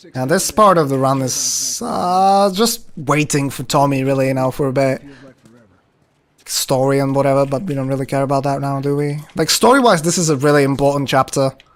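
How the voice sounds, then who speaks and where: A man with a fairly high pitch speaks at a moderate pace, varying his pitch in an ordinary way. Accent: non-native. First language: not English. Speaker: speedrunner streamer. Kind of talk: live gameplay commentary. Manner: casual, conversational.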